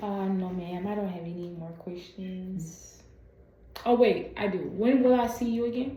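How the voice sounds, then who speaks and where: A soft-spoken woman of medium pitch, with audible room echo and noticeable background noise. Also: ordinary pitch variation, moderate pace. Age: 20s. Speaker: patient and content creator. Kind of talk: medical appointment conversation. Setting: video call.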